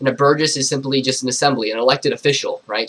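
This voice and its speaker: A man with an American accent speaks very fast in a monotone, flat delivery, with noticeable background noise behind him. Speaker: teacher. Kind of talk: livestream review lesson. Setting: livestream.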